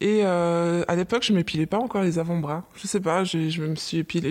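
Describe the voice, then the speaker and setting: Recorded very cleanly against a silent background, a woman with an unremarkable speaking voice and a fairly low pitch talks at a moderate pace. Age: 30s. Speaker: office worker, mother. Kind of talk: casual chat.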